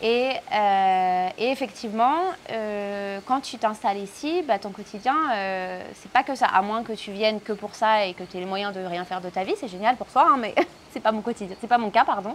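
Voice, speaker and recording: Using a fairly high pitch with ordinary variation, a woman talks at a moderate pace as her loudness swings widely. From France. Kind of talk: interview answer. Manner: casual, hesitant.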